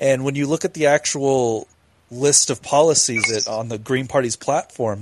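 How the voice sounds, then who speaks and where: A man talks at a fairly quick pace with ordinary pitch variation and an unremarkable speaking voice. The sound is dry and close, with no echo. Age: 20s. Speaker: podcast co-host. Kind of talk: casual chat.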